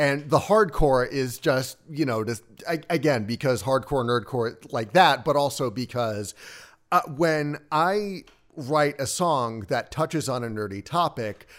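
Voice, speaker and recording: A man with an unremarkable speaking voice talks at a fairly slow pace with a fairly high pitch and lively intonation, on a very clean recording with a silent background. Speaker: musician and streamer. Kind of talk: casual chat.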